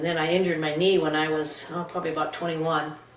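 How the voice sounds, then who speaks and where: In a room with audible echo and noticeable background noise, a woman speaks in a fairly low, monotone, flat voice. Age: 60s. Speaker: patient. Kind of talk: testimony. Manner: halting.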